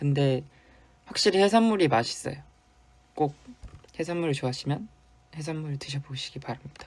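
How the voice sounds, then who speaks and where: Talking at a fairly quick pace with long, frequent pauses, a man uses a fairly high, somewhat breathy voice and lively intonation. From South Korea, Busan. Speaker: K-pop idol. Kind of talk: casual fan livestream chat.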